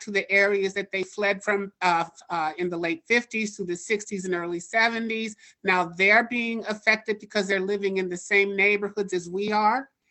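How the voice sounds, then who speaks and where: An ordinary speaking voice in an American accent, at a moderate pace, with fairly even intonation. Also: woman. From Oakland, California. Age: 60s. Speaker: public commenter. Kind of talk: public comment at online town hall.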